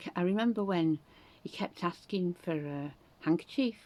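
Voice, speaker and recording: With a Yorkshire accent, a woman speaks in a fairly low pitch with a dark, mellow tone. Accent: Northern English (Yorkshire). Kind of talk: casual talk to camera. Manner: chatty, rambling.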